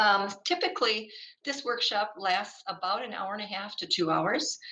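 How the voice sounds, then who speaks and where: This woman has a fairly high pitch. Her intonation is lively. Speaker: workshop presenter, school board consultant. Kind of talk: workshop presentation. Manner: fast.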